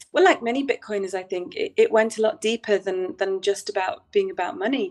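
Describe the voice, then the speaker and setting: Music plays behind a woman speaking in a fairly high voice. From northern England, Manchester. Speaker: bitcoin community organizer. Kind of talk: interview. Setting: live stream. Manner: hesitant fillers.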